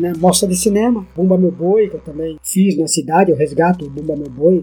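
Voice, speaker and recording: Fairly quick speech with hardly any pauses, ordinary pitch variation, and music in the background. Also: man. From Brazil, Ubatuba, São Paulo coast. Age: 50s. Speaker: writer and filmmaker. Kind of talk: interview.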